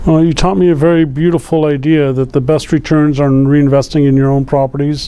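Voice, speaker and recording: An unremarkable speaking voice from a man, fairly high in pitch, at a fairly quick pace with hardly any pauses, very even loudness and fairly even intonation. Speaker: real estate agent. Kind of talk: interviewer at lunch talk.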